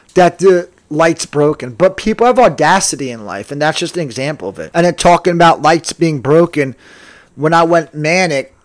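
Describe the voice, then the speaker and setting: A man with an American accent, fairly high-pitched with ordinary pitch variation, at a moderate pace with big swings in loudness, in a dry, close sound with no echo. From New Jersey. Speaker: podcaster. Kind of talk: casual monologue.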